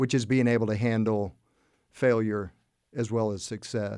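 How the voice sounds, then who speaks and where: On a very clean recording with a silent background, a man at medium pitch speaks with a dark, mellow tone and monotone, flat intonation. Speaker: former football quarterback and property developer. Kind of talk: interview. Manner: halting, many fillers.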